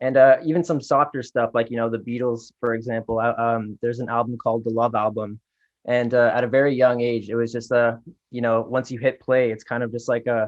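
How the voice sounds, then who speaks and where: A man with a Toronto accent speaks at a medium pitch. His delivery is fairly quick and monotone, with flat intonation. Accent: Canadian English, Toronto. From Canada, Toronto area (Scarborough, Pickering, Ajax). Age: 20s. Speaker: R&B singer. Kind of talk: interview.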